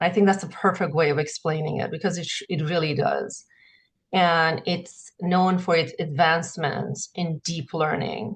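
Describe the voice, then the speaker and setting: Somewhat breathy, the voice carries a non-native accent, a moderate pace and fairly even intonation. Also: woman, fairly low pitch for a woman. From grew up in several countries. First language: not English. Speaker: conference presenter. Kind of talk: conference presentation. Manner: halting.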